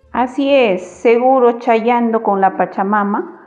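A woman talks in a normal speaking voice, fairly high in pitch, with ordinary pitch variation. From Puno, Peru. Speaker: educational radio presenter. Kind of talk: scripted radio presentation. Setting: radio broadcast.

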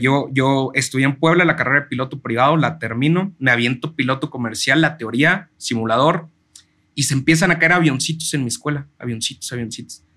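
A man with a Mexican accent speaks at a moderate pace in a medium pitch, his tone bright and sharp and his pitch varying in an ordinary way. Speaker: chef and food content creator. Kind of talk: casual interview chat.

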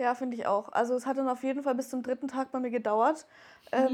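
Speaking very fast at a high pitch, a woman is heard on a very clean recording with a silent background. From Wertheim, northern Baden-Württemberg, Germany. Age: 20s. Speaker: make-up artist. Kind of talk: casual interview.

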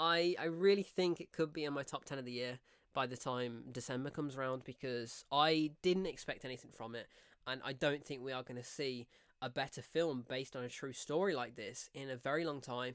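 A man speaks with an English Midlands accent. His pace is fairly quick. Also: medium pitch for a man, ordinary pitch variation. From English Midlands, near Coventry. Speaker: film reviewer podcast host. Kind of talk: solo film review monologue. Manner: animated.

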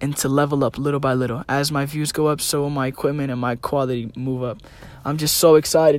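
Fairly even intonation marks an unremarkable speaking voice that goes at a fairly quick pace. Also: man. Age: young. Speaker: podcast host and small business owner. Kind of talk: solo monologue.

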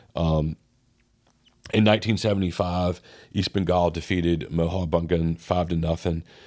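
In a Southern US accent, a man speaks with a very deep, low pitch. The recording is very clean, with a silent background. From US South. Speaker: podcast host. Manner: casual, conversational, filler-heavy.

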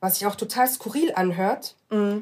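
A woman at a moderate pace, an ordinary speaking voice with ordinary pitch variation. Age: 20s. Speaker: law graduate aspiring to human rights law. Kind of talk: casual interview.

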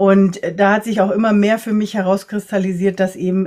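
A woman talks at a moderate pace with medium pitch. She has an ordinary speaking voice. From Latin America (Ecuador, Nicaragua, Costa Rica) and Germany. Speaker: energy worker and coach for empaths. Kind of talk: interview conversation.

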